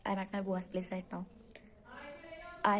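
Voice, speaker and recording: Speaking with an Indian accent, a woman has a somewhat breathy voice at a medium pitch. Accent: Indian English, Hindi-speaking. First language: Hindi. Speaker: vlogger. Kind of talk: casual vlog talk.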